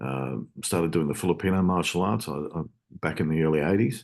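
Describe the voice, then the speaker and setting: In an Australian accent, a man with a very deep, low pitch speaks with ordinary pitch variation over a quiet background. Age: 60s. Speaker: self-defence instructor. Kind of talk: interview. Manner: halting, many fillers.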